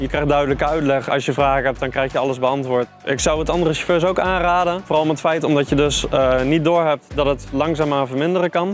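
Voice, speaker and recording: Very fast talk from a man with hardly any pauses, ordinary pitch variation, a dry sound with no echo and faint music in the background. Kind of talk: interview answer. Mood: cheerful, smiling. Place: street. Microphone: lapel.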